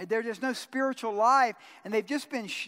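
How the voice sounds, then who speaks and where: A man talks in an animated tone. The recording is very clean, with a silent background. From US South, Georgia. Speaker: pastor. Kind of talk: sermon.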